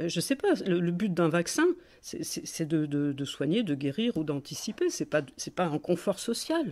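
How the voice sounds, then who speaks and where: A woman talks at a fairly slow pace with a fairly low pitch. Her intonation is lively. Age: 60s. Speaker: political activist and blogger. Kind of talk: phone call with a government hotline. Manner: halting, many hesitations and repetitions.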